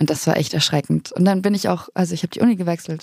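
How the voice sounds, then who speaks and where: The recording of this woman's dark, mellow voice is dry and close, with no echo. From southern Bavaria, Germany. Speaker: trainee pastor. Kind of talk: podcast interview. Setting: studio.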